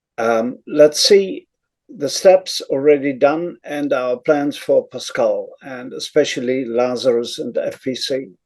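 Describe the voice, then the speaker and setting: At a very slow pace, a man with a Dutch accent talks with big swings in loudness. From Netherlands. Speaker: conference speaker on programming. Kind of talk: conference talk. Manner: halting.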